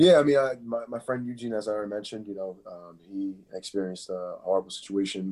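A man with a Philadelphia accent speaks at a fairly low pitch. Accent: Philadelphia American English. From Philadelphia area, US. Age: 20s. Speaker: MMA fighter. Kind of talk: casual interview chat.

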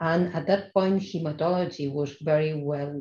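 A woman speaks in a Spanish accent with a very deep, low pitch. Her tone is dark and mellow, and somewhat breathy. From Spain, Barcelona (raised partly in Madrid). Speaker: hematologist and stem cell transplant physician. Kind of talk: interview conversation. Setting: remote call. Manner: hesitant, with frequent fillers.

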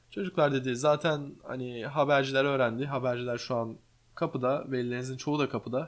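Here is a man with an unremarkable speaking voice at a medium pitch. He talks at a fairly quick pace with fairly even intonation. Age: 20s. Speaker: podcast host, streamer and interior architect. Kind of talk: casual chat. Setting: home living room.

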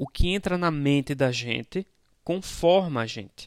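A man with a Brazilian accent talks at a fairly slow pace with lively intonation. The recording is very clean with a silent background and a dry, close sound with no echo. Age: 30s. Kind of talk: spiritual reflection podcast. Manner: conversational, informal.

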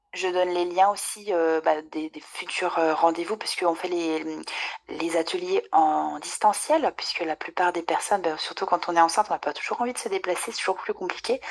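Amid noticeable background noise, a woman with a fairly low pitch speaks at a moderate pace with fairly even intonation. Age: 30s. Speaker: nutrition adviser. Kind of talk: casual interview.

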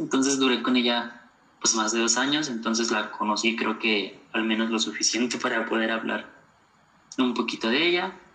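The speech goes at a moderate pace, and background noise is noticeable. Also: man. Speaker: podcast guest, university graduate. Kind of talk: casual interview.

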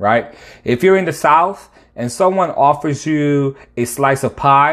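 On a very clean recording with a silent background, a man with a normal speaking voice and an American accent speaks at a fairly high pitch with ordinary pitch variation. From Connecticut, US East Coast. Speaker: podcast host, faith teacher. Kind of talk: devotional podcast monologue.

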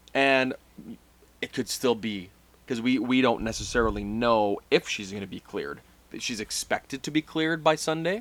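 A man with an ordinary speaking voice, medium pitch, lively intonation, and a moderate pace. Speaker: podcast host. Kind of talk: casual banter, wrestling talk.

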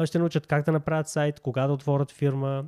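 A normal speaking voice at a moderate pace, dry and close with no echo, on a very clean recording with a silent background. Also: man. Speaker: YouTube host and e-commerce entrepreneur. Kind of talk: sales pitch; casual discussion.

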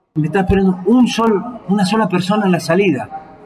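A man with an Argentine accent at a very fast pace, with ordinary pitch variation. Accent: Rioplatense Argentine Spanish. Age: 60s. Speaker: football coach. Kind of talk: casual interview. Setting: bar. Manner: halting, many fillers.

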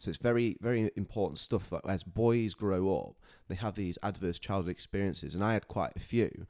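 Recorded very cleanly against a silent background, a man with a dark, mellow tone talks at a fairly quick pace. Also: fairly low pitch for a man. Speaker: men's mental health founder. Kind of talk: casual chat.

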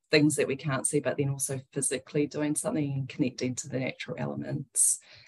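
A woman with a New Zealand accent and fairly even intonation. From New Zealand, Wellington. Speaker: breathwork business founder. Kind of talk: interview.

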